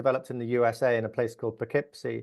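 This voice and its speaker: This voice belongs to a man. His accent is English. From England. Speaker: software engineer. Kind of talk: interview.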